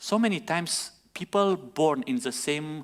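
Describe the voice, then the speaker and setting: Here a man speaks with a non-native accent. His intonation is lively. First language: not English. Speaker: pastor. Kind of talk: sermon.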